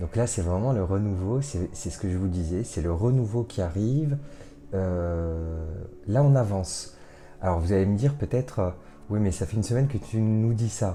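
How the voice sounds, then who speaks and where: Music plays in the background as a soft-spoken man talks at a moderate pace. His pitch is fairly low, with ordinary pitch variation. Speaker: tarot card reader. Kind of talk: card reading guidance. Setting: home recording late at night. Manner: hesitant, many fillers.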